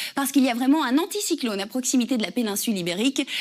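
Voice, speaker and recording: A woman's high voice with ordinary pitch variation. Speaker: TV weather presenter and radio host. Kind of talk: TV weather forecast.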